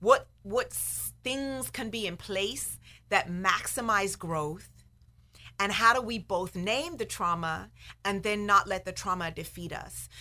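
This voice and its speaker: Vocal fry marks a woman's bright, sharp voice at a medium pitch. She speaks at a fairly slow pace with ordinary pitch variation. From Bristol, England. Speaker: professor and activist. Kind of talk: casual interview conversation.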